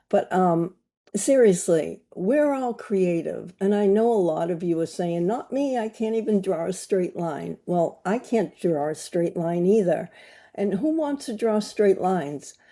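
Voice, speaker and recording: A woman with an American accent speaks at a medium pitch, fairly slowly, with lively intonation. The recording is very clean, with a silent background. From USA. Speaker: glass artist and creativity coach. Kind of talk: casual talk to camera. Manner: halting, many fillers.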